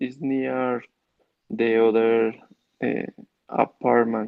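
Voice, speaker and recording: At a very slow pace, a man with a Colombian accent speaks at a medium pitch in a monotone, flat intonation, leaving long, frequent pauses. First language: Spanish. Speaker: English student. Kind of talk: online English lesson. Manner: halting. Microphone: connection cutting out.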